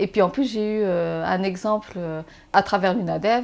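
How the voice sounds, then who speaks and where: At a moderate pace, a woman with medium pitch talks with ordinary pitch variation on a very clean recording with a silent background. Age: 40s. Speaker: blind mother, interviewee. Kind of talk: interview. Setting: at home. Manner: animated.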